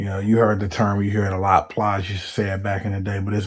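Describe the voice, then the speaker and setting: Soft-spoken and monotone, a man with a fairly low pitch speaks with flat intonation in a very clean recording with a silent background. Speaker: commentary vlogger. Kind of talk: casual monologue. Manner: hesitant, many fillers.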